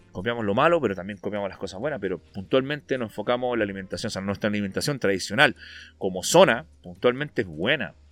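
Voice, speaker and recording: Talking at a very fast pace, a man with fairly low pitch uses lively intonation and big swings in loudness, in a very clean recording with a silent background. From northern Chile, Antofagasta. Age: 30s. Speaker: bodybuilder and fitness coach. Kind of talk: casual interview chat.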